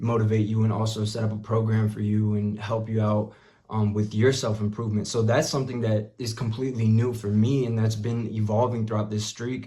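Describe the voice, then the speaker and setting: A man with a somewhat breathy, fairly low voice talks at a fairly quick pace in a flat monotone, hardly pausing, with audible room echo. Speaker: self-improvement vlogger and musician. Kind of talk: casual monologue.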